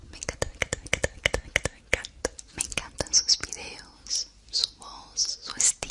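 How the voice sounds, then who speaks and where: Whispering is what this woman does. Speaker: ASMR creator. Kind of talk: soft-spoken ASMR intro chat. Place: home room. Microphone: studio mic.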